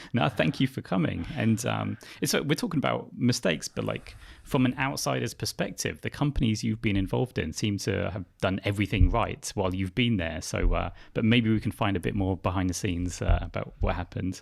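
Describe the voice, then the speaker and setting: A man's lively, fairly quick delivery with vocal fry, on a very clean recording with a silent background. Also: fairly low pitch for a man. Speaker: podcast host. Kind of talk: interview podcast. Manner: fast.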